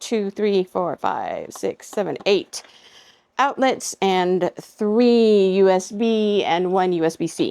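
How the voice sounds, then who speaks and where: A woman speaks in an unremarkable speaking voice at medium pitch with ordinary pitch variation. The sound is dry and close, with no echo. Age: 60s. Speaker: product reviewer. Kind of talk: casual product review. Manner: casual, unscripted with fillers.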